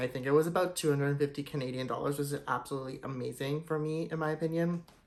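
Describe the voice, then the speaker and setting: Speaking very fast with an enthusiastic tone, a man uses a fairly high pitch over noticeable background noise. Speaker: luxury goods YouTuber. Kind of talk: product showcase vlog. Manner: casual, enthusiastic.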